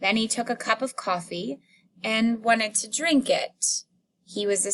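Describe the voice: A quiet background behind plain reading aloud.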